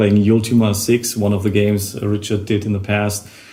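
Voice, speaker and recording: Audible room echo and noticeable background noise surround the recording. A man with a fairly low pitch talks at a fairly quick pace. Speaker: podcast host, game developer. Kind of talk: casual chat.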